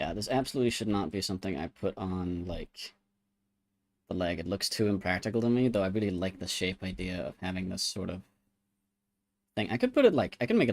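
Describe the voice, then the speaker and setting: Using ordinary pitch variation, a man with a very deep, low pitch speaks at a fairly quick pace. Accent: American. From Denmark. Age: 20s. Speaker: art streamer. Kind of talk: casual livestream chat while drawing. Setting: live stream.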